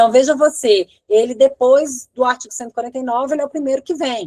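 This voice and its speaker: Very fast speech from a woman with a dark, mellow tone comes across dry and close, with no echo. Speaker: law professor and research clinic coordinator. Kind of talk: lecture Q&A.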